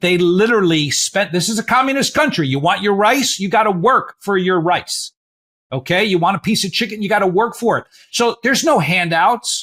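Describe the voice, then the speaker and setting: This man's voice is high-pitched, bright and sharp, with an animated tone. His intonation is lively and his pace moderate. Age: 60s. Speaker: podcast host, financial planner. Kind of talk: casual interview chat. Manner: halting.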